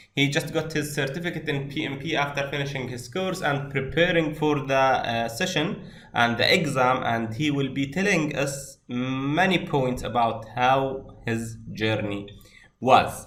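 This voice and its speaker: A man speaks at a fairly slow pace with a fairly high pitch. Audible room echo and noticeable background noise fill the recording. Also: ordinary pitch variation. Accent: non-native. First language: not English. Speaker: course instructor. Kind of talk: online class introduction.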